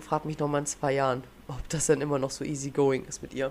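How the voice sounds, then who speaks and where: Over noticeable background noise, a woman with a very deep, low pitch speaks fairly quickly in a monotone, flat intonation. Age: young. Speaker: podcast host. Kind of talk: casual chat.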